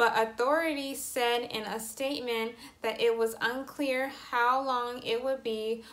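A woman speaks at a fairly high pitch and a fairly slow pace. Her intonation is monotone and flat. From Atlanta, Georgia. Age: 20s. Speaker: aspiring TV host and journalist. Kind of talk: news report read. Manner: business professional.

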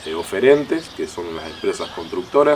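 Over light background noise, a man talks with lively intonation. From Santa Fe province, Argentina. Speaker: local mayor. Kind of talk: TV interview. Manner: halting, many fillers. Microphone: handheld.

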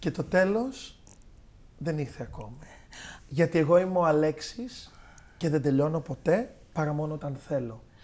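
A man with a fairly high voice talks at a fairly slow pace, his intonation lively and his speech broken by long, frequent pauses. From Greece. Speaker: parody TV show host. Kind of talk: comedic mock TV show chat. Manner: animated. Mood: playful, boastful. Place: studio.

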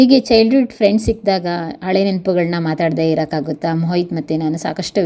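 A woman speaks in a normal speaking voice with ordinary pitch variation. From Karnataka, Malnad (Hassan area). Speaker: vlogger and interviewer. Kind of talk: vlog narration; casual chat.

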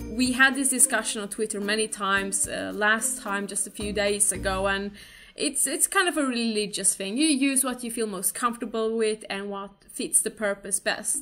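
Faint music sits in the background while a woman speaks at a moderate pace with ordinary pitch variation. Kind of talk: casual vlog chat. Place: home room. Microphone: webcam.

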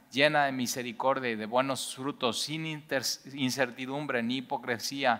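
With a Mexican accent, a man speaks in a bright, sharp tone and fairly even intonation. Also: quiet background. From Mexico. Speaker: Bible teacher. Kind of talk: Bible study teaching. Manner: conversational, many fillers. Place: church.

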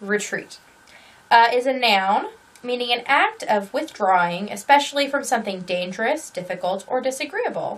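The intonation is lively. This woman talks at a moderate pace. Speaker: crochet podcaster. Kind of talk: casual vlog chat. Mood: cheerful, playful. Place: home room.

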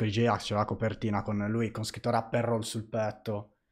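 Over a quiet background, a man speaks at a moderate pace with a fairly low pitch. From Italy. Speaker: streamer; streamer host. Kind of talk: casual interview. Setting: live stream. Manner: halting. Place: home room. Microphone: studio mic.

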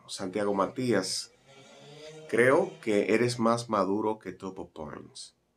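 With music in the background, a man with a Dominican accent talks at a very slow pace and a fairly low pitch. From Dominican Republic. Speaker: broadcaster and commentator. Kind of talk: news commentary to camera. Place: home room.

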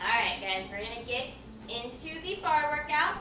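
A raised, projected voice over noticeable background noise. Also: woman. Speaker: gymnastics coach. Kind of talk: tutorial. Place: home room. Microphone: camera far.

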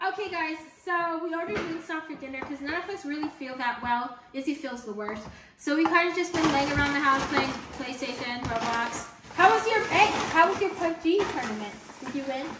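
Noticeable background noise accompanies a woman talking at a fairly quick pace. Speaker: mother vlogger. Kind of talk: casual vlog chat. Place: home room.

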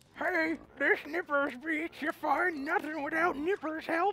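A high-pitched, cartoonish character voice at a fairly slow pace. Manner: crazy.

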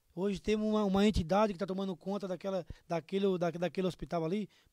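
A man talks at a very fast pace in a high voice against a quiet background. His tone is dark and mellow, and the sound is dry with no echo. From Santa Catarina, Brazil. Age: 30s. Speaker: mayoral candidate; candidate. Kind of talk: political interview. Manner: animated. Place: studio. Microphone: studio mic.

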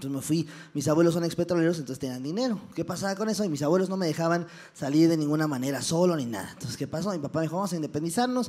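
A man at a very fast pace with very wide pitch swings. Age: 20s. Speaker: comedian. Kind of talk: motivational talk with stand-up humor. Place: stage.

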